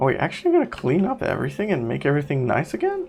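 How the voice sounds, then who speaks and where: Music plays underneath. The speaker talks with a non-native accent. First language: not English. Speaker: gaming YouTuber. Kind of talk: let's play commentary. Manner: animated.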